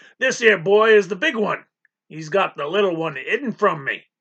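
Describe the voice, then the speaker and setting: A man puts on a raspy, growling character voice pitched high for a man. His intonation is lively, his loudness swings widely, and his pace is moderate. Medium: read story.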